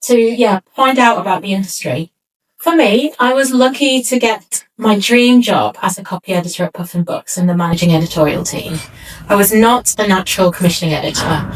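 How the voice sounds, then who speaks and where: Her intonation is lively and her pace fairly quick. This woman speaks at a medium pitch. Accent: northern English. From northern England, Greater Manchester. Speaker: book editor. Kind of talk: keynote speech.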